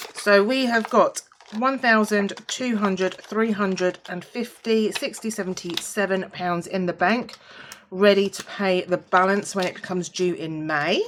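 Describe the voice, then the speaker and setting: Noticeable background noise is present. A woman speaks at a fairly slow pace. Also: medium pitch for a woman, ordinary pitch variation. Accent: British. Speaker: budgeting vlogger. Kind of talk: casual vlog, counting money. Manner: casual, chatty with fillers.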